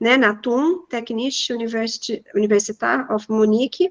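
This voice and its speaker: A woman talks at a fairly slow pace with ordinary pitch variation. Her high voice has a bright, sharp tone. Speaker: professor. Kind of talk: lecture.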